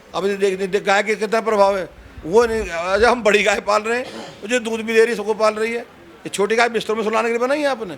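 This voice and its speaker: A man with a high pitch and an animated tone, over noticeable background noise. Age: 60s. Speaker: dairy farmer. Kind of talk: street interview.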